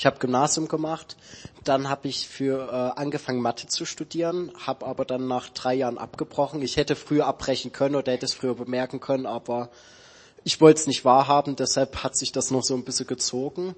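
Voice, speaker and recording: A plain, everyday voice from a man, medium in pitch, with fairly even intonation at a fairly quick pace. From Saxony, Dresden. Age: 20s. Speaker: theology student. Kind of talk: church interview testimony.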